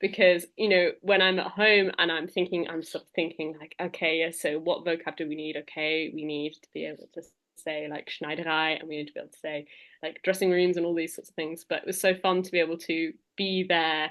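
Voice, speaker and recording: A woman talks at a fairly quick pace in a fairly low voice. Her intonation is monotone and flat, while her loudness swings widely. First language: not German (German is her second language). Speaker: singer and language teacher for musicians. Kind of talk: interview. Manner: casual, many fillers.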